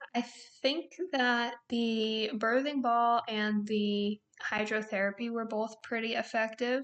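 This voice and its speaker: A woman's fairly high voice, monotone and flat, at a very slow pace. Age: 20s. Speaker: nurse. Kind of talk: casual chat.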